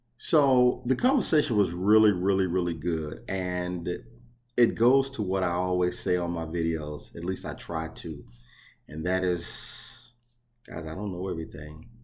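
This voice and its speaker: Audible room echo surrounds a man with a very deep, low pitch. He talks at a fairly slow pace with ordinary pitch variation. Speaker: box truck owner operator and YouTuber. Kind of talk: casual vlog talk. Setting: outdoors facing the ocean, on vacation.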